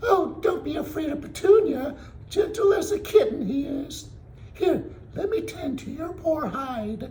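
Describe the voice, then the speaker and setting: A man puts on a squeaky character voice at an extremely high pitch, speaking at a moderate pace. Background noise is clearly audible. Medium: read story. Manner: warm, folksy, coaxing.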